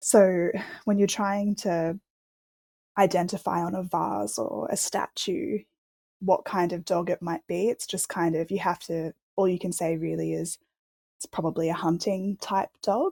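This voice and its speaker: A woman with an Australian accent and a medium pitch speaks at a fairly slow pace in a dark, mellow tone with vocal fry and ordinary pitch variation, recorded very cleanly in a dry, close sound with no echo and a silent background. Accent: normal Australian. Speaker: archaeologist, dog history researcher. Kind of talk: interview, expert explanation. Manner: hesitant, many fillers.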